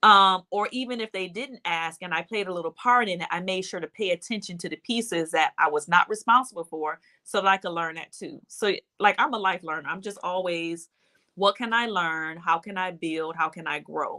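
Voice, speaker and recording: A woman with a Detroit accent speaks at a medium pitch and a moderate pace in a bright, sharp tone, with ordinary pitch variation. The sound is dry and close with no echo, on a very clean recording with a silent background. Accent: US Midwest (Detroit). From Detroit, Michigan. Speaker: bank executive and minister. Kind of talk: interview.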